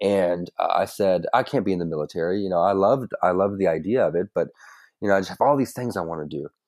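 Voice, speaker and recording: Someone with an American accent speaks at a very fast pace in a very clean recording with a silent background. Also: man, fairly low pitch for a man, ordinary pitch variation. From Kentucky. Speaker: marketer and marine veteran. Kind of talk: interview conversation. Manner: halting, many fillers and restarts.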